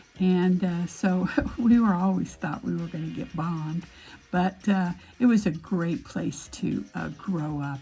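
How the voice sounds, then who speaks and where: Over music in the background, someone with an American accent speaks at a fairly slow pace with ordinary pitch variation. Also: woman, fairly low pitch for a woman. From Nevada, USA. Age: 70s. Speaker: aesthetician. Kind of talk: casual talk to camera.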